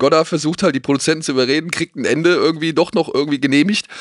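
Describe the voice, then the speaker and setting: Against a quiet background, a man with a fairly high pitch speaks at a very fast pace. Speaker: film TV presenter. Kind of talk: casual chat about films. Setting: host's man cave studio.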